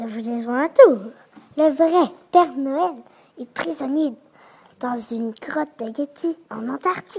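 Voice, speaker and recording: With long, frequent pauses, a woman delivers a put-on character voice at a high pitch and a fairly slow pace. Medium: read story.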